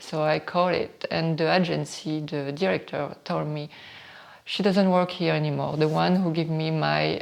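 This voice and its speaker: A woman with a strong French accent at a moderate pace. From northern France. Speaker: model and beauty entrepreneur. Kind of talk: interview testimony.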